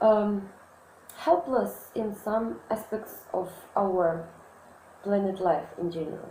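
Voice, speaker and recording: Speaking very slowly with a Russian accent, a woman uses a medium pitch and ordinary pitch variation, with audible room echo around her. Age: 20s. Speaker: student. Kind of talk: self-introduction monologue. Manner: halting, many fillers.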